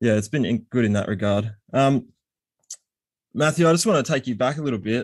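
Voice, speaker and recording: The speaker talks in an Australian accent at a fairly quick pace, with ordinary pitch variation. Long, frequent pauses break up the speech. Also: man, medium pitch for a man. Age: 30s. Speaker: podcast host. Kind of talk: casual interview.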